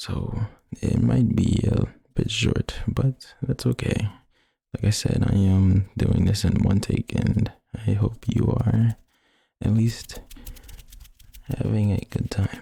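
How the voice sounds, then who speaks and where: A man speaks at a fairly low pitch with a dark, mellow tone and vocal fry. His delivery is very slow, broken by long, frequent pauses. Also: ordinary pitch variation. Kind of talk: ASMR wiki reading of game lore. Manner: soft, trigger-word whispering.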